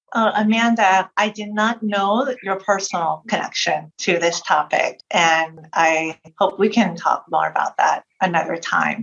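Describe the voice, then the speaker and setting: Fairly slow pace from a woman at medium pitch, with ordinary pitch variation and hardly any pauses. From United States, Cuban and Puerto Rican family. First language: Spanish. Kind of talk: interview.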